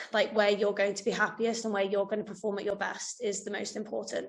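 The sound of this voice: Vocal fry and little pitch movement mark this voice, heard with audible room echo. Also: woman.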